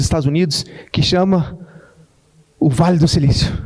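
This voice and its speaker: This man speaks at a high pitch. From Brazil, Goiás. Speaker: tech entrepreneur, speaker. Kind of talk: keynote talk. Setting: stage with audience. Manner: fast.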